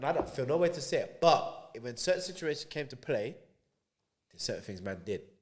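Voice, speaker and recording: In a London accent, a man speaks at a fairly quick pace. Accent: London multicultural English. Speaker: podcast guest telling life story. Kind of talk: casual chat. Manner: animated.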